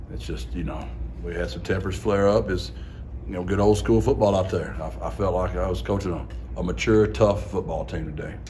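A man speaks at a fairly quick pace with a very deep, low pitch. His pitch swings very widely over light background noise. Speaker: head football coach. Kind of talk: interview answer. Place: hall.

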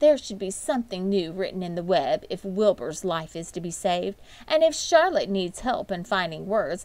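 Someone is reading aloud. They use a natural voice.

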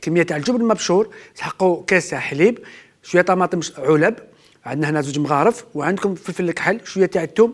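The background is quiet as a man talks at a fairly quick pace. His high voice shows ordinary pitch variation. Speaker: TV chef host. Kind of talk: cooking show tutorial. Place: studio.

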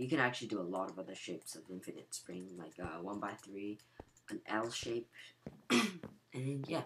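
A put-on character voice comes through raspy. The pace is moderate. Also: man, fairly low pitch for a man.

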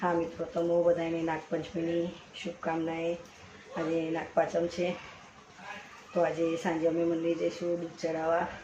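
A woman speaks in a fairly low, flat monotone. There is audible room echo and noticeable background noise. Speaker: family vlogger. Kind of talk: casual vlog narration. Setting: at home. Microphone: no microphone, phone recording.

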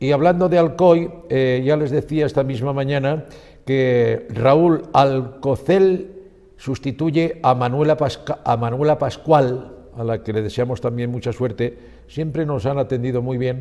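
Against a quiet background, a man speaks at a fairly slow pace. His tone is dark and mellow, with ordinary pitch variation. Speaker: TV news presenter. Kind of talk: news presentation. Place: studio. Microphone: lapel.

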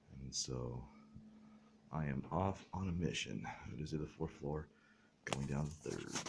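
A man speaks quietly. Background noise is noticeable. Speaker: vlogger doing a delivery route; newspaper route helper vlogger. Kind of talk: casual vlog narration. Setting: indoors, retirement home. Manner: quiet, hushed. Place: hall. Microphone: phone near.

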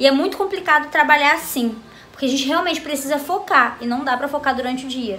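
A woman talks very fast, with light background noise behind her. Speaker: home vlogger. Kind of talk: casual vlog chat. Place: home room. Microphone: phone near.

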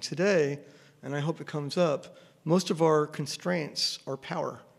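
Against a quiet background, a man talks in a plain, everyday voice, fairly high in pitch with fairly even intonation. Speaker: engineering professor. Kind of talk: panel discussion. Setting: stage with audience. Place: hall. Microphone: podium.

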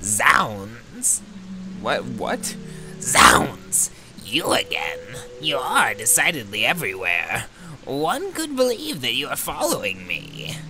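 Using a put-on character voice, a man talks very slowly at a fairly high pitch while clear background noise runs underneath. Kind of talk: theatrical old-fashioned speech. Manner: pompous, archaic, condescending.

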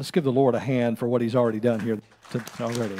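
The background stays quiet as a man talks. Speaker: pastor giving announcements. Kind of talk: church announcements. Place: church. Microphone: podium.

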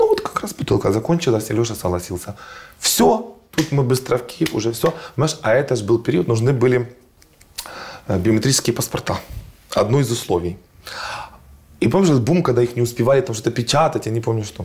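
A man's lively intonation at a fairly quick pace, broken by long, frequent pauses. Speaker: fashion designer and agency director; interview guest. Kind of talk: casual interview chat. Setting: studio. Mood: lively storytelling. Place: studio. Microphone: lapel.

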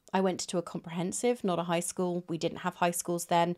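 A woman in a British accent against a quiet background. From Britain. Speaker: booktuber. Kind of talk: casual vlog monologue. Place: home room. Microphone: phone near.

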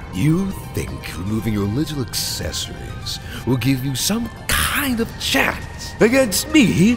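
Over loud music in the background, a man does a put-on character voice at a fairly high pitch and a fairly slow pace. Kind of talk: dramatic villain monologue turned comedic. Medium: fan dub. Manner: cold, menacing, condescending; flustered, defensive.

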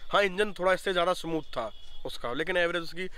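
A man speaks at a moderate pace with a high pitch and a bright, sharp tone. His pitch varies in an ordinary way, and the sound is dry with no echo. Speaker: motorcycle owner; bike owner reviewer. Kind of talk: interview. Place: open country. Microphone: phone near.

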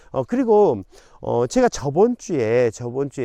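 Using very wide pitch swings, a man with a fairly high pitch and a dark, mellow tone speaks at a moderate pace. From South Jeolla, South Korea (Haenam). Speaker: real estate YouTuber. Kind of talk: on-location explainer video. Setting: outdoors on farmland. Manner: many filler hesitations.

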